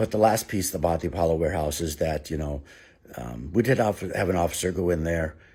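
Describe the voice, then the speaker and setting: In an American accent, a man speaks at a fairly quick pace with a very deep, low pitch and vocal fry, on a very clean recording with a silent background. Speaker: former city alderman. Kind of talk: direct-to-camera commentary. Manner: fast.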